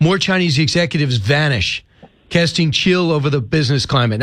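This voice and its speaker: A man with a fairly high pitch speaks at a very fast pace with ordinary pitch variation. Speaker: radio show host. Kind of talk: radio host interviewing a guest.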